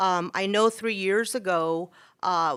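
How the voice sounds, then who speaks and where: A loud woman's voice, bright and sharp in tone, at a fairly slow pace on a very clean recording with a silent background. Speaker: school teacher speaking at public comment. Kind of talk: public comment at a city council meeting. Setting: council chambers. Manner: hesitant, many fillers.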